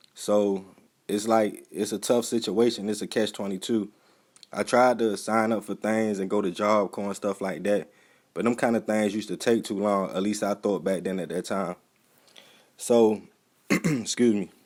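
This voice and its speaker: With an American accent, a man speaks in a normal speaking voice at a fairly low pitch and moderate pace, with fairly even intonation, on a very clean recording with a silent background. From Baltimore, Maryland. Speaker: YouTube reporter and videographer. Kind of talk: casual talk to camera.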